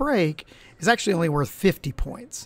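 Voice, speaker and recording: A man with an American accent keeps to a moderate pace. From Appalachia, US coal country. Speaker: college English instructor. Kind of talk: lecture. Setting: live stream. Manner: casual, with many fillers.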